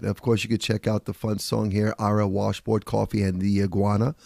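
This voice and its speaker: In a New York accent, a man speaks at a fairly low pitch with a dark, mellow tone and a dry, close sound with no echo. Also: very clean recording, silent background. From New York (Bronx). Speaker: radio show host and author. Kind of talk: casual monologue.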